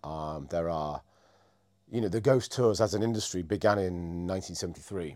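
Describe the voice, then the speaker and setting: In a Yorkshire accent, a man with a very deep, low pitch speaks at a moderate pace with ordinary pitch variation on a very clean recording with a silent background. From northern England, Scarborough. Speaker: ghost tour guide and operator. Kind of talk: casual chat. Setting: office.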